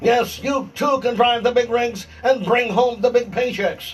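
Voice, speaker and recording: A loud, strained put-on character voice from a man, with an extremely high pitch, a monotone, flat intonation, and a moderate pace. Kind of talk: announcer. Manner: booming, salesy.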